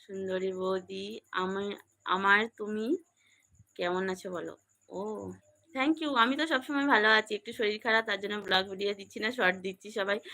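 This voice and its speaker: This woman's voice sits at a medium pitch. Her tone is bright and sharp. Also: ordinary pitch variation. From West Bengal, Canning (Sundarban). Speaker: vlogger. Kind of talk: live stream chat with viewers.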